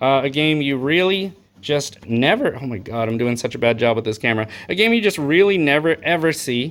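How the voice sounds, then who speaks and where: Here is a man with an unremarkable speaking voice. His pitch is fairly high. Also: lively intonation. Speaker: retro game store owner showing trade-ins. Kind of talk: casual video showcase. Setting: recorded to camera. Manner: casual, many filler words.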